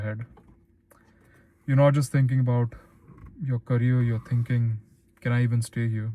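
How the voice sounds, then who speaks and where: A man's dark, mellow, somewhat breathy voice in an Indian accent, monotone and flat, with long, frequent pauses. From Philippines. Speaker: YouTuber, former stockbroker. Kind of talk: personal vlog monologue.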